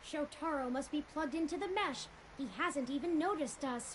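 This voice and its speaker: Over clear background noise, a put-on character voice speaks at a high pitch and a fairly quick pace. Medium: video game. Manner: measured, analytical.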